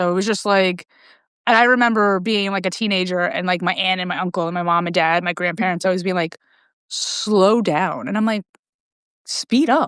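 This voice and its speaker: A woman with a New York accent speaks at a medium pitch with ordinary pitch variation, in a dry, close sound with no echo and a quiet background. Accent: New York American. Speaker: podcast host. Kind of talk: casual interview chat. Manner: fast.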